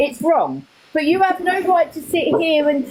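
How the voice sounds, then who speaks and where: An extremely high-pitched woman's voice amid noticeable background noise. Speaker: live chat room participant. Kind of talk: heated debate.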